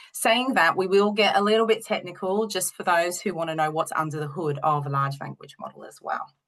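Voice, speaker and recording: With an Australian accent, a woman talks at a fairly quick pace with hardly any pauses. Her medium pitch shows ordinary variation, and her loudness swings widely. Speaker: university lecturer and researcher. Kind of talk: webinar presentation. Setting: online webinar with screen share.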